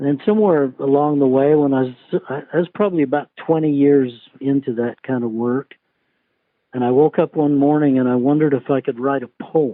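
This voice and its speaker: A man at a moderate pace, with an ordinary speaking voice, fairly high in pitch with ordinary pitch variation. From Utah, USA. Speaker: cowboy poet. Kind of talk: interview answer.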